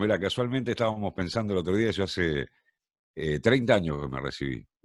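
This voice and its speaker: A man's very deep, low voice with very wide pitch swings. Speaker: radio and TV announcer, tango singer. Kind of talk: casual interview answer, anecdotes.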